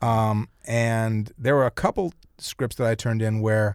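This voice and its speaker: A man with an American accent and an unremarkable speaking voice talks at medium pitch with fairly even intonation, in a very clean recording with a silent background. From US Midwest, Chicago. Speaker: screenwriter and film director. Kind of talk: interview.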